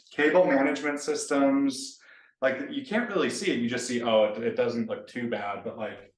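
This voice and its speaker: A man with an American accent at medium pitch and a fairly quick pace, with audible room echo. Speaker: software developer. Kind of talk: casual chat.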